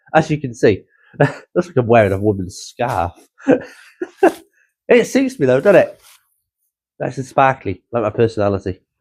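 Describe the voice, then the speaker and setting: Pitched in the middle range, this man's voice comes with a British accent. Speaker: car hobby vlogger. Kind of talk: casual vlog.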